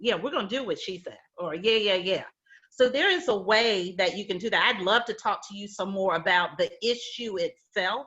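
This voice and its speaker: An animated woman with an American accent speaks at a moderate pace and medium pitch, with ordinary pitch variation and big swings in loudness. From US South. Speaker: healthcare HR executive, panelist. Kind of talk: virtual panel discussion, career advice. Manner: conversational, animated.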